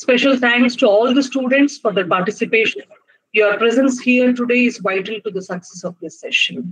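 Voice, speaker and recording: Against a quiet background, a woman with a high pitch speaks at a moderate pace with ordinary pitch variation. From India. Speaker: faculty member, master of ceremony; event host giving vote of thanks. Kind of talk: formal speech. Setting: video call. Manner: formal. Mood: polite, formal, grateful. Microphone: video call.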